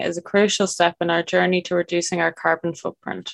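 Dry and close with no echo, this woman's medium-pitched, ordinary speaking voice moves at a fairly quick pace. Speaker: podcast host. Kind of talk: scripted intro then interview chat.

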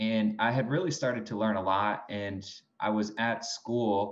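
The man has a fairly low pitch and an American accent. He speaks at a fairly slow pace with ordinary pitch variation. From New York State, Binghamton. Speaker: golf fitness trainer. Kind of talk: interview.

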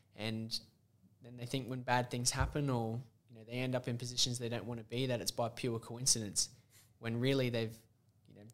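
A man with an Australian accent speaks at a fairly quick pace and a medium pitch, his intonation flat and monotone, his loudness swinging widely, with long pauses coming often. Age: 20s. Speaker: podcast host. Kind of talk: casual chat.

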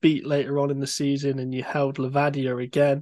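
With a quiet background, a man in a plain, everyday voice talks at a fairly quick pace and a fairly high pitch. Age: 30s. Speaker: podcast host. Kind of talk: interview.

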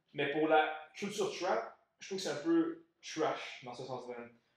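There is audible room echo around this man's voice. His pitch varies in an ordinary way. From Montreal, Quebec. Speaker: podcast co-host. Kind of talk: casual chat.

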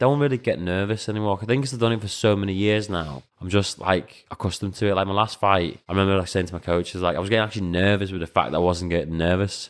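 In a Scouse accent, a man with a fairly low pitch speaks at a very fast pace on a very clean recording with a silent background. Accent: Scouse-tinged English. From Latvia, raised in England (Liverpool area). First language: Latvian. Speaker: professional kickboxer and coach. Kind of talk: casual chat.

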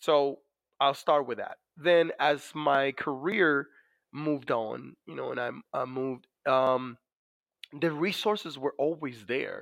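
Speaking at a very slow pace in a Dominican accent, a man with a fairly high pitch and ordinary pitch variation swings widely in loudness on a very clean recording with a silent background. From Dominican Republic. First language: Spanish. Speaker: navy master chief, war veteran. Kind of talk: interview about personal experience. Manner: many fillers, conversational.

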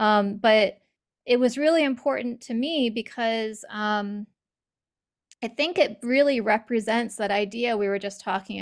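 A woman's fairly high voice, a normal speaking voice, at a moderate pace with ordinary pitch variation, on a very clean recording with a silent background. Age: 40s. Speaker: author. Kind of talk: casual chat.

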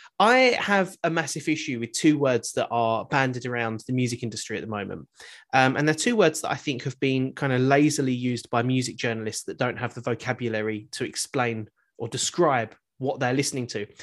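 Against a quiet background, a man speaks fairly quickly at a medium pitch with ordinary pitch variation. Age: 30s. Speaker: podcast host. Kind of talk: casual interview chat. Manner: animated, jokey.

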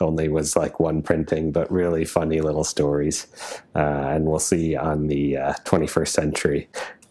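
Over noticeable background noise, a man with an American accent speaks at a moderate pace in a very deep, low, monotone voice with flat intonation. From Wisconsin. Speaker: vintage watch dealer. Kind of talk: interview.

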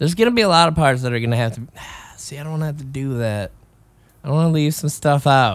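At a very fast pace, a man speaks in a fairly high pitch with lively intonation and big swings in loudness. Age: 30s. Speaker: podcast host. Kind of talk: casual monologue. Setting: home jam room. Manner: rambling, halting.

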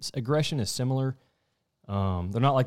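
Talking at a very fast pace with a Texan accent, a man is heard on a very clean recording with a silent background. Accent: Southeast Texas (US South). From Southeast Texas. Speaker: wildlife biologist. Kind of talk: casual chat.

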